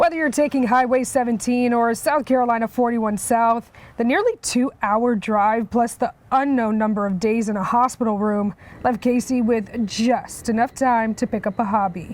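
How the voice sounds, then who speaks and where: At a fairly high pitch, a woman with an unremarkable speaking voice talks at a moderate pace with ordinary pitch variation. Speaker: news reporter. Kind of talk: TV news feature voice-over.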